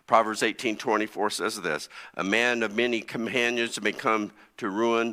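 In a very clean recording with a silent background, a man with an American accent speaks at a moderate pace in a medium pitch, his bright, sharp tone edged with vocal fry. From US Midwest (Connersville, Indiana). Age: 60s. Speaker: pastor. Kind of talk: sermon.

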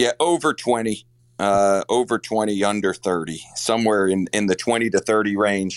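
This is an ordinary speaking voice from a man, fairly low in pitch. He keeps a moderate pace, and the sound is dry and close with no echo. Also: ordinary pitch variation, very even loudness. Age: 40s. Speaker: college basketball coach. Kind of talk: interview.

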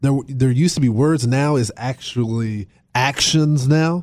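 At a fairly slow pace, a man speaks with a dark, mellow tone. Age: 20s. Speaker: radio host. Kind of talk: political talk radio discussion.

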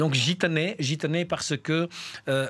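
An unremarkable speaking voice from a man at a moderate pace, with ordinary pitch variation. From Albania. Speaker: community worker and association coordinator. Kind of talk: radio interview. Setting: studio.

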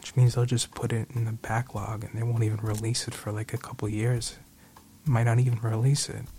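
A man talks at a fairly quick pace in a somewhat breathy, dark, mellow voice at a medium pitch, his intonation monotone and flat. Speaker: podcast host. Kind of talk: radio DJ patter with sponsor reads and show sign-offs. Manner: warmly grateful and sincere, stressing words for emphasis.

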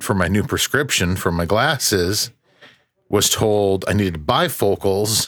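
Here a man is speaking. His pace is fairly slow. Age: 40s. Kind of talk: casual chat.

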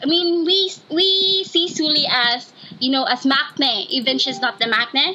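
A woman's raised, projected voice at a fairly slow pace, with ordinary pitch variation and noticeable background noise. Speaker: student. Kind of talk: casual chat. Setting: video call. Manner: halting.

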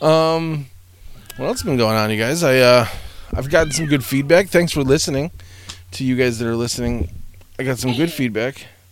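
With audible room echo, a man at a medium pitch talks at a fairly quick pace, using ordinary pitch variation and long, frequent pauses. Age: 40s. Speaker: podcast host. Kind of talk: casual solo monologue. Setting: home recording room above garage. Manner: rambling, animated.

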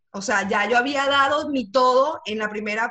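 A woman speaks in a raised, projected voice at a high pitch with a bright, sharp tone. Her intonation is lively and her pace fairly slow. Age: 30s. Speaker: communications and personal branding speaker. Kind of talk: casual interview. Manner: halting, many repetitions and fillers.

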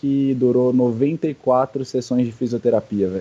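A man speaks at a fairly slow pace with a medium pitch. His tone is dark and mellow, with fairly even intonation. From São Paulo, Brazil. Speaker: CrossFit athlete. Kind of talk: casual interview.

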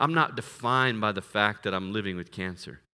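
In a very clean recording with a silent background, a man with a fairly low pitch and a bright, sharp tone speaks at a moderate pace. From US, military family, moved around. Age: 40s. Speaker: missionary and missions director. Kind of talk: sermon.

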